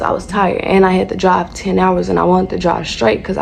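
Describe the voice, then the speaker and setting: A woman with a Southern US accent at a very fast pace, over noticeable background noise. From North Carolina. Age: 20s. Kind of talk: casual storytime talk to camera.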